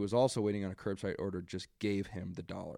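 The very fast speech of a man comes through with a dry, close sound and no echo. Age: 20s. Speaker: podcast host, college student. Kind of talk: casual solo commentary and rant. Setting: home basement recording. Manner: halting, many fillers.

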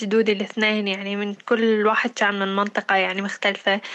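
A woman's medium-pitched voice stays monotone and flat as she talks at a moderate speed. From Syria, Deir ez-Zor city. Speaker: podcast co-host. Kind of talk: casual chat.

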